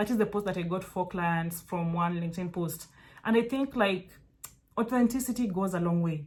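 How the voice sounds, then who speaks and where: A woman with a Kenyan accent speaks at a moderate pace, somewhat breathy, with a medium pitch and ordinary pitch variation. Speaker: virtual assistant mentor. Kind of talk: casual tutorial talk to camera. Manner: animated, conversational with frequent fillers.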